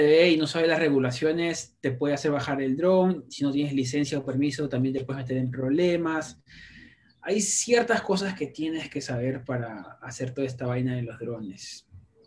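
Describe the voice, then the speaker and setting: A man uses a normal speaking voice at fairly high pitch, with ordinary pitch variation and a moderate pace. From Peru, Lima. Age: 30s. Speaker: YouTuber. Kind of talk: interview.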